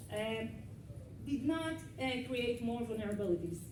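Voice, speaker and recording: A woman with a non-native accent at a moderate pace, amid noticeable background noise and audible room echo. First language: not English. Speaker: cybersecurity consultant. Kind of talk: lecture. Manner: halting.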